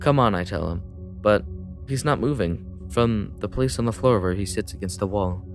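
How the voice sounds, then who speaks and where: A man with a very deep, low pitch and lively intonation at a moderate pace, music in the background. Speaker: let's play gamer. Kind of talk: casual let's play commentary, reading a text adventure aloud. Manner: casual, hesitant, stumbles over words.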